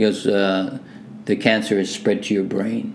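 A man with a Canadian accent and a fairly low pitch speaks at a moderate pace with fairly even intonation, with noticeable background noise behind him. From Hamilton, Ontario, Canada (born Manchester, England). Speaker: music producer. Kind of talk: casual interview chat.

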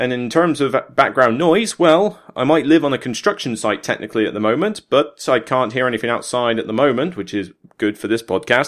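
A man in a Somerset accent at medium pitch, fairly quick with few pauses, his tone fairly bright and his intonation lively. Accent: Somerset, south-west England.

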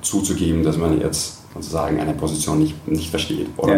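A man with an Austrian accent, very deep and low in pitch, ordinary pitch variation, moderate pace, amid audible room echo and noticeable background noise. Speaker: tech community country manager. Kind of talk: interview. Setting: office kitchen.

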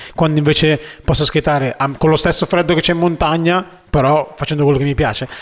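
Talking very fast at a fairly high pitch, a man keeps very even loudness and fairly even intonation amid noticeable background noise. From northern Italy, Milan. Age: 30s. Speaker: inline skater and videomaker. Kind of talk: casual chat.

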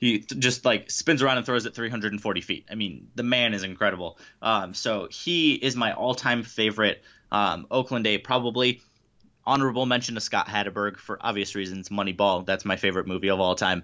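Fairly low in pitch and at a fairly quick pace, a man talks in an unremarkable speaking voice with ordinary pitch variation. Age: 20s. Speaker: baseball writer and podcast host. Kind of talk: casual interview.

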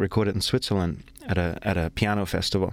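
Speaking at a fairly quick pace, a man talks with a German accent. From Germany. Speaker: jazz pianist and singer. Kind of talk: casual chat. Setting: studio.

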